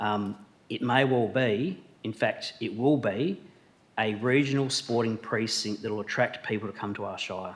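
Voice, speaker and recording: Speaking in an Australian accent, this man keeps a medium pitch, ordinary pitch variation and a moderate pace. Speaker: shire president chairing council meeting. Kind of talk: council meeting debate speech. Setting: council chamber with public gallery. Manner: halting with fillers.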